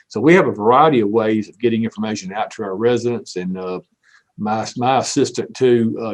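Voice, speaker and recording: The speaker talks in a Southern US accent with ordinary pitch variation. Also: man. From US South. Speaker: city manager. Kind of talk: panel discussion.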